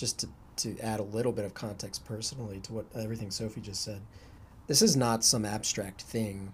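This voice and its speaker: At a moderate pace, a man with a fairly low pitch and a somewhat breathy voice keeps his intonation fairly even. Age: 30s. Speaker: podcast host, university staff. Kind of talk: casual chat.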